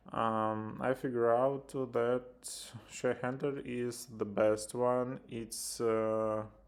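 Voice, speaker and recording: This man has a Ukrainian accent and a medium pitch. He speaks at a very slow pace with monotone, flat intonation. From Ukraine. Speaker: software developer. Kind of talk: tutorial. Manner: halting, many filler sounds.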